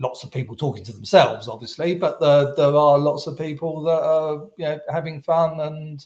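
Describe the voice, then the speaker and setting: Somewhat breathy and with a British accent, a man speaks at a fairly high pitch and a moderate pace. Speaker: SEO agency founder. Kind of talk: podcast interview answer.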